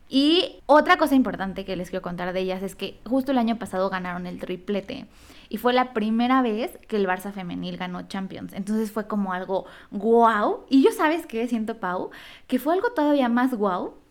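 Over a silent background in a very clean recording, a woman with an ordinary speaking voice talks at a moderate pace, with a fairly high pitch and lively intonation. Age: 20s. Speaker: podcast co-host. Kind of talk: casual chat.

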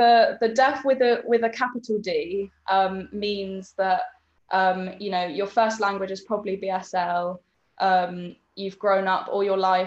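A woman with a British accent at a fairly slow pace. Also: medium pitch for a woman, fairly even intonation. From UK. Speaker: sensory support worker. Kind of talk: casual chat.

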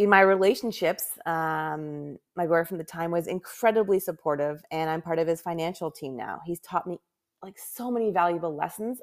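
A woman with a Canadian accent and an ordinary speaking voice talks at a moderate pace, her pitch fairly low with ordinary variation. Her loudness swings widely on a very clean recording with a silent background. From Canada. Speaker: podcast host, professional organizer and business owner. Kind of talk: solo podcast monologue. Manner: casual, frequent laughs and fillers.

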